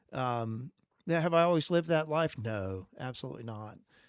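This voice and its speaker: In an ordinary speaking voice, a man talks at medium pitch with ordinary pitch variation on a very clean recording with a silent background. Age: 60s. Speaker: podcast talk show host. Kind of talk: religious talk; casual chat.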